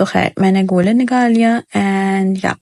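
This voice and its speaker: A woman speaks quietly at a medium pitch with fairly even intonation. The sound is dry and close, with no echo. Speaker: vlogger. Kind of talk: voice-over narration of a vlog. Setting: recording at home in the dark while baby sleeps. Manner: subdued, low energy.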